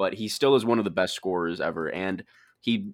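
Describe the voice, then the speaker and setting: A man has an ordinary speaking voice, fairly low in pitch, with lively intonation at a fairly quick pace. The recording is very clean, with a silent background. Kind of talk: heated debate. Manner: insistent, interrupting, pleading to be heard.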